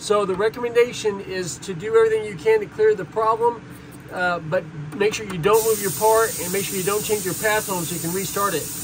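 Against noticeable background noise, the words come out rather quickly. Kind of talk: tutorial. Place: workshop. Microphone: phone near.

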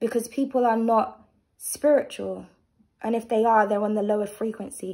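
A woman speaks at a moderate pace with a fairly high pitch and a dark, mellow tone. The background is quiet. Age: 30s. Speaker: tarot reader and channel host; vlogger. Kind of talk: tarot reading with personal rant. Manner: animated. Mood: opinionated, candid, sometimes sharp. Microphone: phone near.

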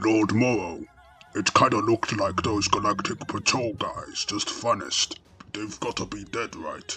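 A man puts on a character voice at a medium pitch. He speaks at a moderate pace with faint music in the background. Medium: dub. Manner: casual.

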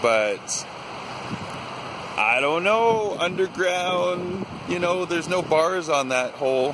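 Over noticeable background noise, a man speaks with a high pitch and lively intonation. The sound is dry, with no echo. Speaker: vlogger. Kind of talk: casual vlog chat. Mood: playful, spooked curiosity. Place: waterside. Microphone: phone near.

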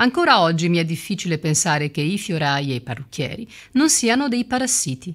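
A woman's fairly low voice has a fairly bright tone and big pitch swings. The recording is very clean with a silent background.

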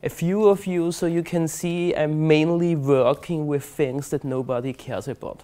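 With a German accent, a man talks at a moderate pace, his pitch fairly high and his tone dark and mellow. His pitch varies in an ordinary way, he hardly pauses, and the background is quiet. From Austria, Vienna. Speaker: conference speaker, database expert. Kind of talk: technical presentation. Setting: stage with audience. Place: hall. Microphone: lapel.

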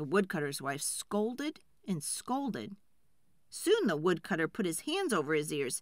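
Over a very clean recording with a silent background, a woman speaks at a fairly slow pace, her fairly low pitch moving in big swings.

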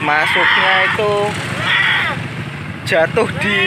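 Noticeable background noise is present, and the sound is dry with no echo. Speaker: livestock market vlogger. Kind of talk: casual vlog commentary. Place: market. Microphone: phone near.

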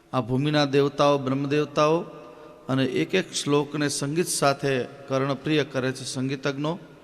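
The man's voice sits at a fairly high pitch with monotone, flat intonation. Noticeable background noise runs beneath it. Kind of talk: religious discourse. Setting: temple stage with audience.

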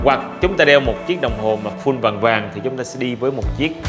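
Clear music plays in the background. A man speaks at a fairly quick pace. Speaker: presenter. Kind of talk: product review presentation. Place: shop.

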